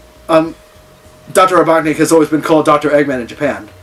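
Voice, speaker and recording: This man speaks very fast. Background noise is noticeable throughout. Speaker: video game reviewer. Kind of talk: casual unscripted movie review to camera. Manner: hesitant, stammering with pauses.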